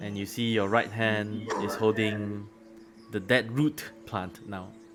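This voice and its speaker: A man at a very slow pace, fairly even in intonation, with music in the background. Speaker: game master. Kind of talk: tabletop roleplay narration. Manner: halting.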